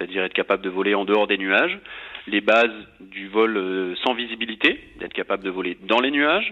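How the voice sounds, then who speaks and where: Delivered at a moderate pace, this is a plain, everyday voice. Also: man. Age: 30s. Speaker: air force flight instructor. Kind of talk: interview.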